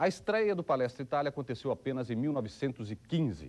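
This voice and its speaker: A man with a dark, mellow tone lets his pitch swing very widely. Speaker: TV documentary presenter. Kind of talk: documentary narration.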